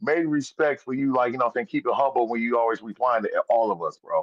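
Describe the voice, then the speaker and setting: Talking at a very fast pace, a man with an American accent keeps a medium pitch and ordinary pitch variation. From Wisconsin. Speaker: caller. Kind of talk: casual chat. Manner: animated.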